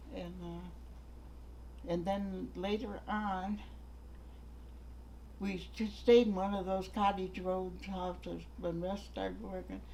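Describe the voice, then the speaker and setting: In an Upper Midwest accent, a woman speaks at a very slow pace with long, frequent pauses against noticeable background noise. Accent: Upper Midwest American. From North Manitou Island, Michigan. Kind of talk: oral history interview answer.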